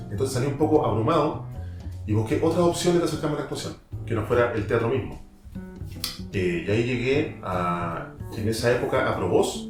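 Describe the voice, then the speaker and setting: A man with a Chilean accent talks fairly quickly with lively intonation and long, frequent pauses. Music plays in the background. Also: medium pitch for a man. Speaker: voice actor. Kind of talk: interview answer.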